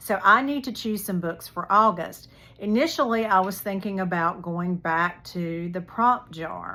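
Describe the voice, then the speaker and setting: A woman with an American accent speaks at a fairly slow pace in a medium-pitched, bright, sharp voice with ordinary pitch variation, on a very clean recording with a silent background. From North Carolina. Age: 60s. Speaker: book vlogger. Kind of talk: casual chat.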